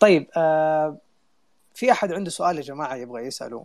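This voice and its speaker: A man with a fairly high voice speaks with ordinary pitch variation over a quiet background. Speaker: community co-founder and online audio room host. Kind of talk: casual panel discussion. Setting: online audio room.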